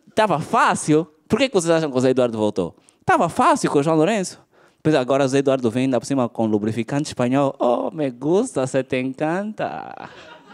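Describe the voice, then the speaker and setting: Lively intonation marks this man's speech. He talks at a fairly quick pace against a quiet background. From Angola. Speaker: stand-up comedian. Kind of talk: stand-up comedy. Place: stage. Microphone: handheld.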